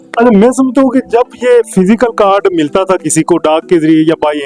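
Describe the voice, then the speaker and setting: Over music in the background, a man speaks with lively intonation in a dry, close sound with no echo. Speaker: vlogger, interviewer. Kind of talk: interview question.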